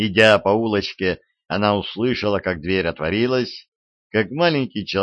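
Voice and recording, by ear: Against a quiet background, someone is reading aloud in a natural voice with ordinary pitch variation.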